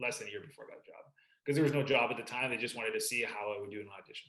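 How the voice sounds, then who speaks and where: A man with a slight Canadian accent. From Vancouver, Canada. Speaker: sports broadcaster. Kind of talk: podcast interview.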